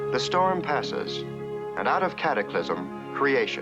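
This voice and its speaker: Music plays behind a man with an American accent who speaks at a fairly slow pace in a calm tone. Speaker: narrator. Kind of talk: nature documentary narration. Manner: calm, steady, lyrical.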